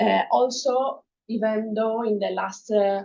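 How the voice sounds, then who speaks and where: A woman talks very slowly in an Italian accent at a fairly high pitch. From Italy. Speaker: researcher. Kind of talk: academic presentation. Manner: halting, many fillers.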